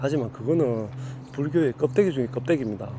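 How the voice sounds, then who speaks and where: A man with a Gyeongsang accent speaks at a medium pitch over noticeable background noise. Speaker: Buddhist spiritual teacher. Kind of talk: dharma talk. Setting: outdoors.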